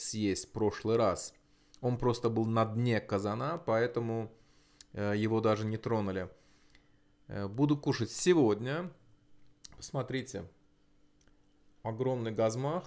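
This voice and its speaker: A man talks at a very slow pace. He leaves long, frequent pauses. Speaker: mukbang vlogger. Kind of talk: casual vlog chat. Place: home room. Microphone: lapel.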